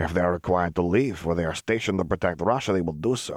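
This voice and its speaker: A man puts on a gruff character voice, pitched very deep and low. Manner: gruff, stern, proud.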